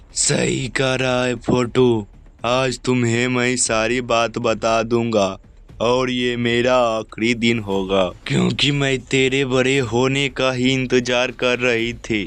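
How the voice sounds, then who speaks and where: A man's put-on character voice, cackling, medium in pitch, at a very slow pace over light background noise. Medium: read story.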